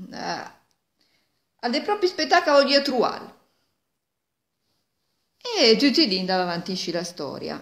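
Her pitch swings very widely. The woman speaks at a fairly slow pace. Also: quiet background. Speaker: dialect storyteller. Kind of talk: folk tale told in Milanese dialect. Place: home room. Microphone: phone near.

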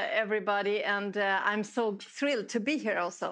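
With fairly even intonation and a moderate pace, a woman talks while the background stays quiet. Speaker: guest. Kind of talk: lecture. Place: hall.

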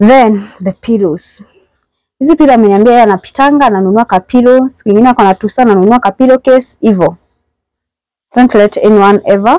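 A woman with a dark, mellow tone, ordinary pitch variation and very even loudness at a fairly quick pace, dry with no echo, over a quiet background. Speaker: house tour host. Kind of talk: casual vlog chat. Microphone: phone near.

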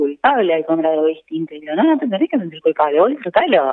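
Her pitch swings very widely as a woman speaks at a fairly quick pace. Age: 40s. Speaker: nutritionist. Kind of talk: interview. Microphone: echo.

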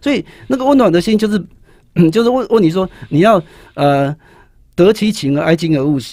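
This dark, mellow voice moves at a moderate pace with very wide pitch swings and long, frequent pauses, in a dry sound with no echo over a quiet background. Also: man, high pitch for a man. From Taiwan. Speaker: high school teacher and author; guest, teacher. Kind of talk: interview about his book on writing. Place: studio. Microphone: studio mic.

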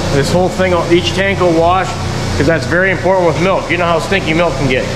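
Loud background noise competes with this man's voice. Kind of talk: casual vlog chat. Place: farm machine. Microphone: phone near.

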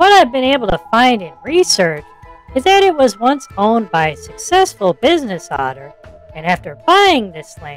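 A put-on character voice at a fairly high pitch, with very wide pitch swings, a moderate pace, and faint music in the background. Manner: earnest, upbeat host.

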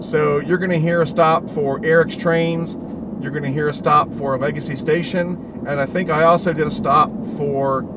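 Loud background noise sits under speech at a moderate pace with ordinary pitch variation. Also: man. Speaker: hobby channel host. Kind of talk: casual vlog chat. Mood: excited, upbeat. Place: car. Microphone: phone near.

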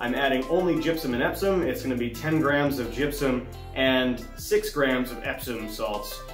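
A man speaks at a moderate pace with audible room echo. Clear music plays in the background. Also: ordinary pitch variation. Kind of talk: tutorial. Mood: relaxed and friendly. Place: home room.

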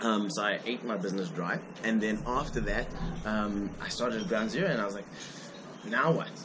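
Amid noticeable background noise, a man with a fairly low pitch speaks at a moderate pace with ordinary pitch variation and long, frequent pauses. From South Africa. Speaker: judo athlete; guest. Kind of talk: interview. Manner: halting. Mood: relaxed, smiling. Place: cafe.

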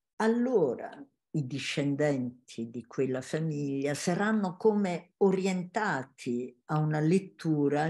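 Over a quiet background, a woman with a very deep, low pitch and a dark, mellow tone talks at a very slow pace with lively intonation. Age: 80s+. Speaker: family constellation facilitator, former teacher. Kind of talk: interview; interview answer. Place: home room. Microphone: webcam.

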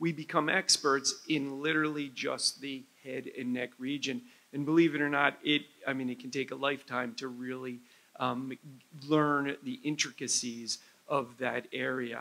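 Here a man talks at a moderate pace with an American accent. His voice is fairly high, bright and sharp, with fairly even intonation. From New Jersey. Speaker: head and neck surgeon. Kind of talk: medical lecture. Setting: conference stage with audience. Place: hall. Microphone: lapel.

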